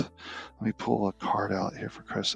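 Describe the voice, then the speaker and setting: Music plays in the background as a man speaks in a calm tone at a fairly slow pace, with a dry, close sound and no echo. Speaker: spiritual healer and card reader. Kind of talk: live-stream Q&A with card readings. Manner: slow, calm and relaxing.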